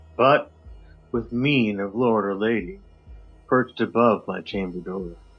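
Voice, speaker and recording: A man speaks at a fairly slow pace with a medium pitch and ordinary pitch variation, while music plays in the background. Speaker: podcast co-host. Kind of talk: dramatic poetry reading. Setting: remote recording.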